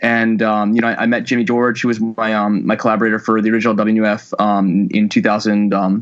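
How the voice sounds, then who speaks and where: A man with an American accent speaks at medium pitch. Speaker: film director. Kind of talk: interview. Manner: fast.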